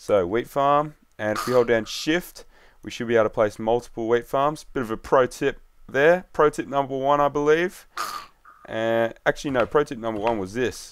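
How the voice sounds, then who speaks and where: He talks at a moderate pace in a medium pitch with ordinary pitch variation, in a normal speaking voice. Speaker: gaming youtuber. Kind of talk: gameplay commentary. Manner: casual.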